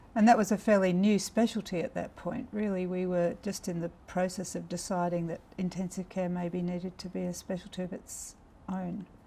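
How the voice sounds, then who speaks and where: With a dark, mellow tone, a woman speaks at a moderate pace in a somewhat breathy voice and fairly even intonation. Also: medium pitch for a woman. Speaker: anaesthetist, oral history interviewer. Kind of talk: interview questions.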